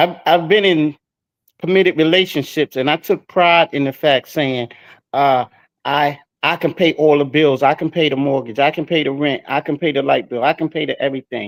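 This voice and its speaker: With a normal speaking voice and a fairly high pitch, a man talks at a moderate pace and with fairly even intonation, the sound dry and close with no echo. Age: 60s. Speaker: panelist. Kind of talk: live stream discussion.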